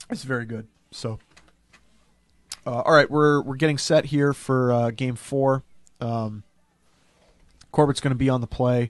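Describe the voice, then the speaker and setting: Over a quiet background, a man speaks at a fairly slow pace with fairly even intonation and long, frequent pauses, the sound dry with no echo. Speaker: game commentator. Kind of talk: live commentary. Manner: quiet, trying not to be overheard. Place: booth. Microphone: headset.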